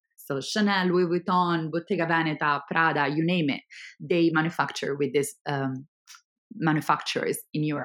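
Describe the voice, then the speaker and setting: A woman's fairly low voice in an Italian accent, ordinary pitch variation, a moderate pace, and a very clean recording with a silent background. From Italy. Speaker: startup founder. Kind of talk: interview.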